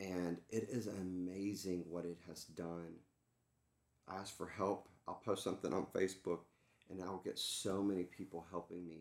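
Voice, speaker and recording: A man speaks in a Texan accent with a very deep, low pitch. His intonation is flat and monotone. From Texas, Dallas area. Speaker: entertainment executive and coach. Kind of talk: casual interview.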